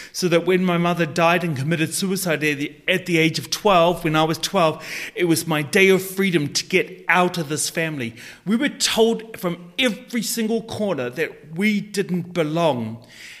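Through noticeable background noise, a man talks at a moderate pace in a high pitch with ordinary variation. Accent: New Zealand. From New Zealand. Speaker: life coach. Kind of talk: interview.

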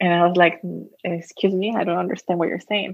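Speaking at a fairly quick pace, a woman with a Spanish accent uses a medium pitch. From Costa Rica. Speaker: social entrepreneur. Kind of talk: interview.

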